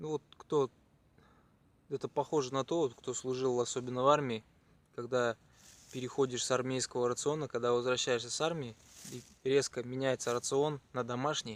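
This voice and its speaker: A quiet man at a moderate pace, medium in pitch, with monotone, flat intonation, long, frequent pauses and a dry, close sound with no echo. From Chuvashia, Russia. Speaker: cycling traveler vlogger. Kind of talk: travel vlog. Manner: quiet, low-energy.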